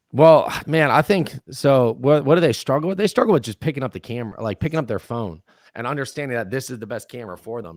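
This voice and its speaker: Recorded very cleanly against a silent background, the sound is dry and close with no echo. A man talks at a very fast pace in an animated tone. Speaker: real estate content advisor. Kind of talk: podcast interview. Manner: loud.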